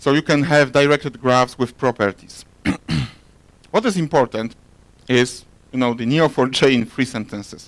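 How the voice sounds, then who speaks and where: A man with a Polish accent speaks at a medium pitch, leaving long, frequent pauses. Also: ordinary pitch variation. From Poland. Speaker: software architect. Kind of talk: conference talk. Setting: stage with audience. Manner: fast.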